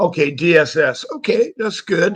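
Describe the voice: A man with a raspy, fairly bright voice speaks at a fairly high pitch and a moderate pace.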